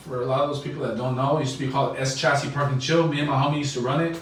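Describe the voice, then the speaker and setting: With noticeable background noise and audible room echo, a man with an American accent talks at a very fast pace in a fairly high pitch, keeping his intonation fairly even. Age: 20s. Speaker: podcast host. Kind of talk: casual chat.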